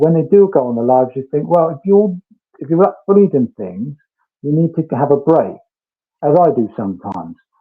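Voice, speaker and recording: A man's voice sits fairly high. Its pitch swings very widely. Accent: British. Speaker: true crime streamer. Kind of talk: live stream chat. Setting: garden room, online call. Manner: careful, diplomatic. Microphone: connection fading and freezing, on mobile data.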